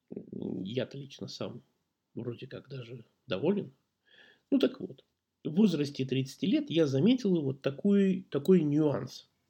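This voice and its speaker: A man's fairly high, somewhat breathy voice with a dark, mellow tone, lively intonation, big swings in loudness, a very slow pace and long, frequent pauses. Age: 50s. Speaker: podcast host. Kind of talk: personal storytelling monologue. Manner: conversational, with hesitations.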